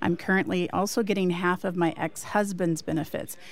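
A woman with a plain, everyday voice speaks at a moderate pace and a medium pitch. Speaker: radio producer. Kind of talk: reading listener mail aloud. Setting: remote studio in Chicago.

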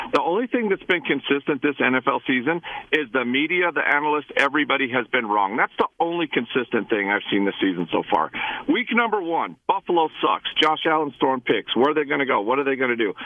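Over noticeable background noise, a man with an American accent speaks in a fairly high voice, with very wide pitch swings and very even loudness. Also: fairly quick pace. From Idaho. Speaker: caller. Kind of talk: radio call-in rant. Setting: phone call. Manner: animated.

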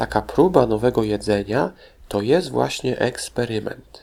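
The tone is dark and mellow, with vocal fry. Delivery is at a moderate pace in a very clean recording with a silent background. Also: man. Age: 40s. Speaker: children's history podcast host. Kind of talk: educational talk for children.

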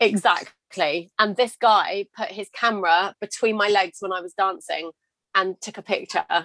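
A woman speaks at a medium pitch and a fairly slow pace, her tone bright and sharp and her intonation fairly even. Her loudness swings widely, and the sound is dry and close with no echo. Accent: British. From England. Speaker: confidence coach and podcast host. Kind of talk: casual interview conversation.

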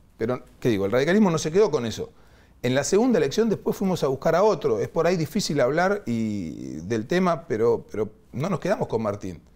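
A man speaks at a fairly quick pace with very wide pitch swings. His voice carries vocal fry. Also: very clean recording, silent background. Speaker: politician. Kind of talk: interview. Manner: halting.

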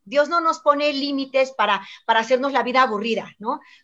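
Her raised, projected voice is high and bright, sharp in tone, as this woman speaks at a moderate pace with ordinary pitch variation. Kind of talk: panel discussion. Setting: video call.

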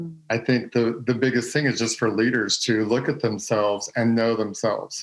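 A man's plain, everyday voice with an American accent, medium in pitch, at a moderate pace with fairly even intonation and hardly any pauses. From Texas. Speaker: former pastor's son in church ministry. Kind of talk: casual chat.

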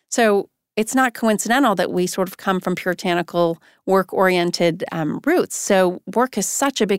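With an unremarkable speaking voice, a woman talks at a moderate pace and medium pitch with ordinary pitch variation, the sound dry and close with no echo in a very clean recording over a silent background. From Iran, attended an American school there. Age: 50s. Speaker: marketing executive. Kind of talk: interview conversation.

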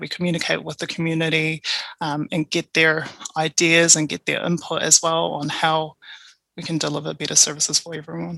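A woman speaks at a moderate pace in a very deep, low voice with flat, monotone intonation. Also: dry, close sound with no echo. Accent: New Zealand. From New Zealand, Tongan parents. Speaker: procurement advisor. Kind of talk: interview conversation.

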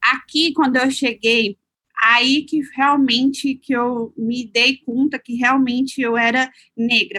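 A woman speaks at a high pitch in a raised, projected voice with a bright, sharp tone. Her pace is very slow and her intonation fairly even, the sound dry and close with no echo. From Minas Gerais, Brazil. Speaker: lawyer and city councilor. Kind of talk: interview testimony.

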